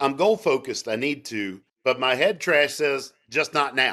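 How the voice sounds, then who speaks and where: In an animated tone, a man with a fairly high pitch and a bright, sharp tone talks at a moderate pace, showing very wide pitch swings and vocal fry. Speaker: sales trainer. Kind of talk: interview.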